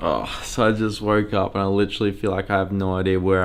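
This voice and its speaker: A man with an Australian accent at a fairly low pitch, talking at a fairly quick pace amid noticeable background noise. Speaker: travel vlogger and photographer. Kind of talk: vlog narration.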